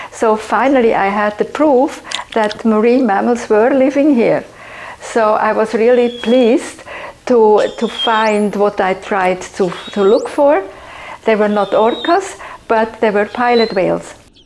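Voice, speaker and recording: Against noticeable background noise, a woman talks at a fairly slow pace in a fairly high pitch, with ordinary pitch variation and very even loudness. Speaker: conservationist. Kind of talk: documentary interview. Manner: halting.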